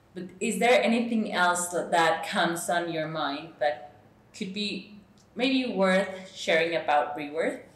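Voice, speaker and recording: A woman's fairly low voice at a very slow pace, with ordinary pitch variation, audible room echo and noticeable background noise. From Mexico. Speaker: podcast host. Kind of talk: interview.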